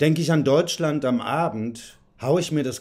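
This man's intonation is lively and his tempo fairly unhurried, with nothing audible behind him. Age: 40s. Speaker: curator and writer. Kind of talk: reading aloud a poetic text. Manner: rhythmic, declamatory. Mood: serious, reflective. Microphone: phone near.

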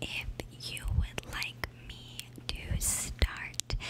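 A soft-spoken woman whispering at a very slow pace over loud background noise. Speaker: content creator. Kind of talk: ASMR-style casual vlog chat. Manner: soft close-mic ASMR whisper. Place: home room. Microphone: studio mic.

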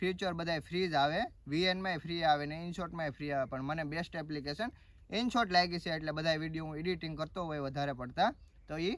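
High-pitched speech from a man, with noticeable background noise around it. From Gujarat, Gir Somnath district, India. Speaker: vlogger. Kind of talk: casual Q&A vlog.

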